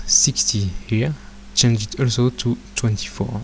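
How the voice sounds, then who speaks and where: A man with a non-native accent speaks at a fairly slow pace in a medium-pitched, somewhat breathy voice with fairly even intonation. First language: not English. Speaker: software tutorial creator. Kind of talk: tutorial. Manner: hesitant, frequent filler sounds.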